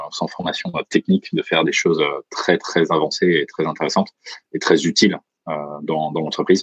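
A man's voice comes at a moderate pace, the sound dry and close with no echo. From France, Franche-Comté. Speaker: startup founder and CEO. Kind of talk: interview. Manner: hesitant.

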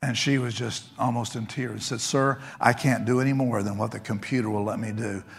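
A man's medium-pitched voice with an American accent, at a fairly quick pace, with fairly even intonation and hardly any pauses. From Texas. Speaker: pastor. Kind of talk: sermon. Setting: church.

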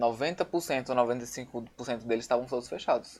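A man with an unremarkable speaking voice, medium pitch and a fairly slow pace. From Natal, northeastern Brazil. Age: 20s. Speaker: photographer and visual artist. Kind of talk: casual chat.

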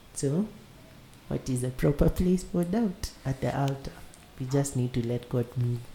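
Speaking at a fairly slow pace with long, frequent pauses, a man uses lively intonation in a dark, mellow, somewhat breathy tone. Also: medium pitch for a man. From Kenya. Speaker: podcast host. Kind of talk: casual chat.

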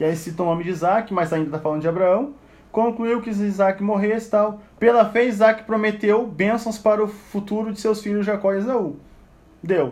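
A man's high voice with ordinary pitch variation. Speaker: Bible study teacher. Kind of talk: Bible study lecture. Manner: conversational.

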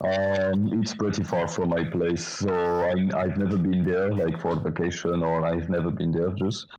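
A man with a French accent speaks fairly slowly in a very deep, flat monotone. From northern France, Lille. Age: 20s. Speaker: volunteer. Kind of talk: casual chat.

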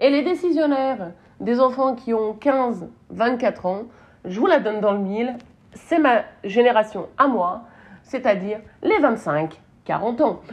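Lively intonation runs through very slow speech broken by long, frequent pauses. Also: woman, high pitch for a woman. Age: 30s. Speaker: marketing podcast host. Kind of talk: solo podcast commentary. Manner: casual, hesitant with fillers.

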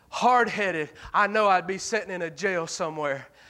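A man speaks in a raised, projected voice at a high pitch. His pace is moderate, and the recording is very clean with a silent background. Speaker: preacher; missionary. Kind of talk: sermon. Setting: church. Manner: animated; emphatic, rhetorical.

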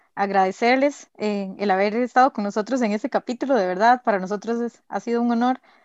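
A woman's fairly high, fairly quick delivery in a normal speaking voice, with ordinary pitch variation. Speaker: podcast co-host. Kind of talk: casual chat.

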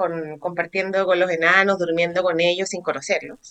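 With a Chilean accent, a woman speaks at a moderate pace in a medium pitch, her tone bright and sharp. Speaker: podcast co-host. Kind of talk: casual chat. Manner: animated.

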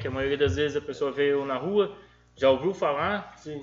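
A man speaks at a moderate pace with a fairly high pitch and ordinary pitch variation, over noticeable background noise. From Brazil, São Paulo state interior (Tupã). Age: 20s. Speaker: street food vendor. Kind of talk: casual chat.

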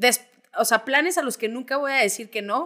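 A woman is speaking. Her tone is bright and sharp. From Mexico, Zacatecas. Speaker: podcast co-host, producer. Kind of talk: casual chat.

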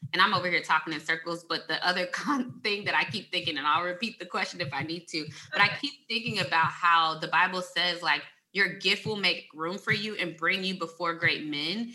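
A woman with a fairly low pitch speaks at a fairly quick pace in an ordinary speaking voice, with ordinary pitch variation. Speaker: podcast host. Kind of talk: casual interview chat.

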